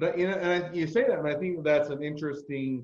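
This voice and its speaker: This is an unremarkable speaking voice. Its pitch varies in an ordinary way. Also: man. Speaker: podcast host and patent lawyer. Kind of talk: interview.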